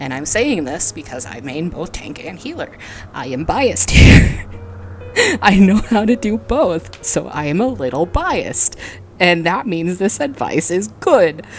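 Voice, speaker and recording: Music sits in the background. The talking is fairly slow. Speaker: gaming video creator.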